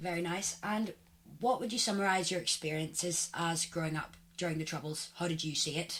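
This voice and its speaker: Speaking fairly quickly, a woman uses a fairly low pitch with ordinary pitch variation. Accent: Northern Irish. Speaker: podcast host. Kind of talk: interview.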